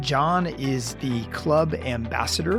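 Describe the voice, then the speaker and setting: There is music in the background. A man is speaking. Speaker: podcast host. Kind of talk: podcast intro.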